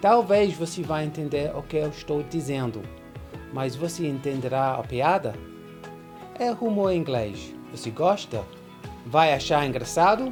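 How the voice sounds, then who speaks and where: Music plays in the background as a man with a fairly high pitch speaks at a fairly slow pace, with lively intonation and long, frequent pauses. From London, England. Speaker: English teacher. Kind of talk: casual talk to camera.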